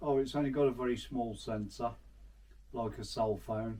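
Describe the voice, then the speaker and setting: A man's medium-pitched, somewhat breathy voice with a dark, mellow tone, moderate pace and fairly even intonation. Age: 60s. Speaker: hobby photographer and camera reviewer. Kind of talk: casual product review vlog. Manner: halting, repetitive.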